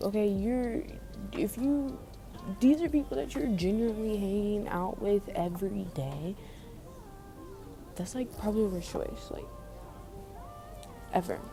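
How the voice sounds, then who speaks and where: Over music in the background, a woman with a calm tone and medium pitch speaks at a fairly slow pace, with very wide pitch swings and long, frequent pauses. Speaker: podcast host. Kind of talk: casual podcast talk. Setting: library. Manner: calm, peaceful; slightly raised.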